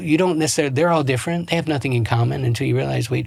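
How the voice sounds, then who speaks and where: In an American accent, a man talks with a somewhat breathy voice. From US East Coast, Baltimore, Maryland. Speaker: relationship coach. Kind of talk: podcast interview. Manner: halting, many self-corrections.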